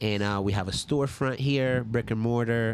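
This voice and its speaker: A man speaks with a New York accent. His pace is moderate and his intonation fairly even. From New York, the Bronx. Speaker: podcast host, DJ and creative. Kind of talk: casual chat.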